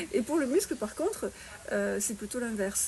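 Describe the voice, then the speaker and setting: A woman rushes along at a very fast pace with noticeable background noise behind her. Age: 60s. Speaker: fitness and nutrition coach. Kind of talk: interview. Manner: hesitant with fillers.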